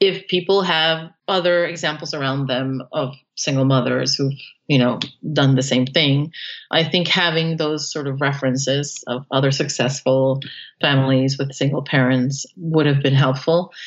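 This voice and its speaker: A woman speaks at a moderate pace with a very deep, low pitch. Her intonation is fairly even. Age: 40s. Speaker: single mother by choice. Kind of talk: interview. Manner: halting.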